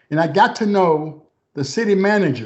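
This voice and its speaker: A man with an Arkansas accent speaks at a moderate pace, his intonation lively. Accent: Southern US (Arkansas). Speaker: former government official. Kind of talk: interview.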